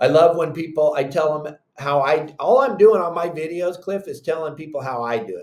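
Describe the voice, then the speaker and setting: In an American accent, a man with a fairly high pitch and an unremarkable speaking voice talks at a moderate pace with hardly any pauses, ordinary pitch variation, and big swings in loudness. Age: 60s. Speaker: fishing guide and content creator. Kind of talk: casual chat.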